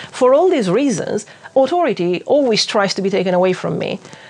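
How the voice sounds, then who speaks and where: With a non-native accent, a woman talks at a fairly quick pace over noticeable background noise. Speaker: witchcraft YouTuber. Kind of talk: video essay commentary. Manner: tangential, hesitant with fillers.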